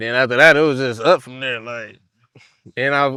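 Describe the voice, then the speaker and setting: This man's voice sits at medium pitch. Its tone is bright and sharp. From Cleveland, east side. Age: 20s. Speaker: rapper. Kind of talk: interview. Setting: outdoor park event. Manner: casual, slangy.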